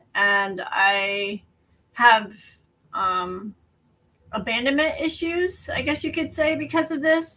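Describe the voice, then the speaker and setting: A woman with an American accent and an ordinary speaking voice talks at a fairly slow pace. Her intonation is lively. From West Texas. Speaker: person in addiction recovery, business owner. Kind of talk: personal testimony. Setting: at home, online show.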